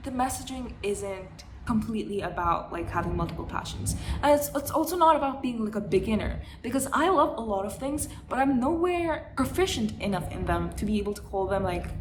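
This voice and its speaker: Noticeable background noise and audible room echo fill the space as a woman speaks at a fairly quick pace. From India. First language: Hindi. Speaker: vlogger. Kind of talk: casual monologue. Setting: at home, living room. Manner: halting, with many fillers and restarts.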